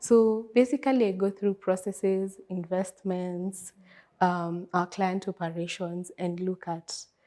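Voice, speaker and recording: A soft-spoken woman's medium-pitched voice with a dark, mellow tone at a fairly slow pace, on a very clean recording with a silent background. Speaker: risk analyst. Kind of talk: interview. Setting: event.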